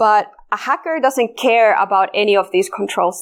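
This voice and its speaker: Moderate pace with ordinary pitch variation, in a Finnish accent, on a very clean recording with a silent background. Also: woman. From Finland. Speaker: security researcher. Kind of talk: conference talk. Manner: halting.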